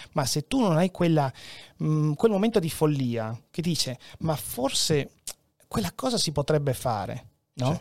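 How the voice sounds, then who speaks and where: This man speaks at a fairly slow pace, leaving long, frequent pauses. The sound is dry and close with no echo, on a very clean recording with a silent background. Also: fairly high pitch for a man, lively intonation. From Venezuela, Peruvian father, Friulian mother. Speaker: journalist, fact-checker. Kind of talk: casual chat.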